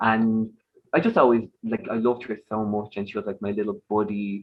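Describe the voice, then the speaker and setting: A man in an Irish accent talks at a fairly quick pace and a medium pitch. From Ireland, Dublin area. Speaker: podcast guest, dog owner. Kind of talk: casual chat. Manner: animated.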